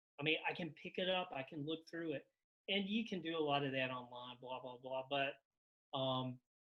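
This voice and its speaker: This man's fairly high voice moves at a moderate pace, its pitch varying in an ordinary way. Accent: Carolina. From Carolina. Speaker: novelist. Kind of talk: casual conversation.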